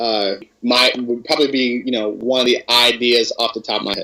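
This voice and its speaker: A man speaks with a plain, everyday voice at a medium pitch. His pace is moderate and his intonation fairly even. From US Midwest, Cleveland Ohio. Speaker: pro wrestler. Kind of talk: interview.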